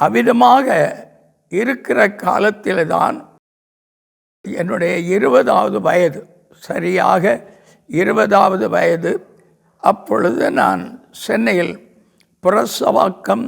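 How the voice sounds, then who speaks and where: A man's high-pitched voice with very wide pitch swings. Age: 80s+. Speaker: pastor. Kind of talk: religious testimony.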